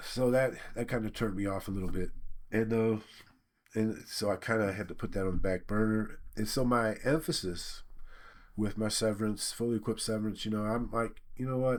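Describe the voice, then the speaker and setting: On a very clean recording with a silent background, an ordinary speaking voice goes at a fairly quick pace, its intonation fairly even. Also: man, fairly low pitch for a man. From Michigan. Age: 60s. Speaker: laid-off worker, YouTuber. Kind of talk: casual personal monologue. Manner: relaxed, conversational.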